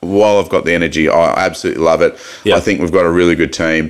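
A man with a very deep, low voice talks at a very fast pace in an Australian accent. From Australia, Mildura (Victoria). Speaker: mayor and businessman. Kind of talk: casual chat. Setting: studio.

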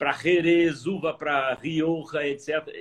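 A man with a fairly high pitch is talking. His pace is very slow. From Minas Gerais interior, Varginha. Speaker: agronomist researcher. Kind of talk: casual interview.

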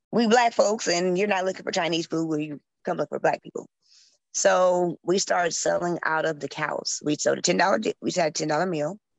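In an American accent, a woman with a plain, everyday voice talks at a moderate pace, her fairly low pitch showing ordinary variation. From northern Illinois (Waukegan, Chicago area). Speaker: restaurant owner. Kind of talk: casual interview chat.

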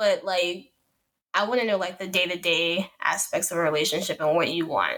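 A woman's bright, sharp, medium-pitched voice in a Chicago accent, at a moderate pace with fairly even intonation. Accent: Chicago American English. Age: 20s. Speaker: podcast co-host. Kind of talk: casual chat.

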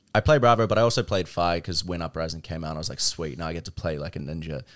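This voice carries a New Zealand accent on a very clean recording with a silent background. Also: man. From New Zealand, South Auckland. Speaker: card game company marketing staffer. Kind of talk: casual chat.

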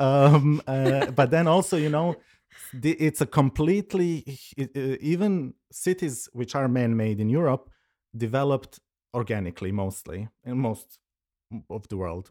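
A man speaks at medium pitch with a dark, mellow tone and lively intonation, leaving long, frequent pauses. The sound is dry and close with no echo, on a very clean recording with a silent background. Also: moderate pace. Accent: Serbo-Croatian. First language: Serbo-Croatian. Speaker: curator and researcher. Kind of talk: casual conversation. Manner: halting, many fillers and restarts.

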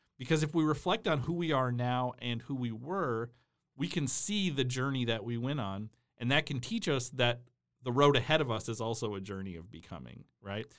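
In a very clean recording with a silent background, a man speaks at a moderate pace and a medium pitch. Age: 40s. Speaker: professor and podcaster. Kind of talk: casual chat. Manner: halting, many repeated words.

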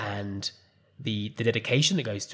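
A somewhat breathy man with an English accent. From England. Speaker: podcast host and life coach. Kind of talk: solo podcast monologue.

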